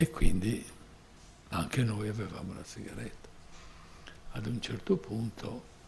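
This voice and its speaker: A man speaks at a fairly slow pace with lively intonation. Audible room echo and noticeable background noise fill the recording. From Sardinia, Porto Torres and Sassari. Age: 80s+. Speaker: invited speaker at a tourism conference. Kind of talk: personal storytelling at a conference. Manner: halting.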